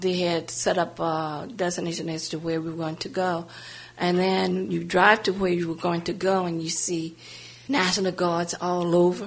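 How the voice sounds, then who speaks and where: A woman with an American accent has an unremarkable speaking voice, fairly low in pitch. She talks at a moderate pace with fairly even intonation. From US South, New Orleans, Louisiana. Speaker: civil rights activist. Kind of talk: biographical interview.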